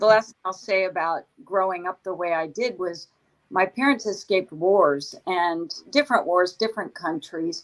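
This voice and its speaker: A woman's medium-pitched voice at a moderate pace, with ordinary pitch variation and big swings in loudness. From born overseas, raised in the US from age five. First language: not English. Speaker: CEO, author and military veteran. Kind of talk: interview conversation.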